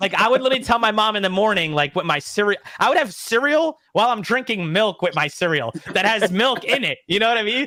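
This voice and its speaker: A man speaks very fast at a high pitch, his tone animated and his intonation lively. His loudness stays very even over noticeable background noise. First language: not English (parents European). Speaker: YouTube content creator, wrestling fan. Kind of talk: casual interview chat. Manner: fast, animated.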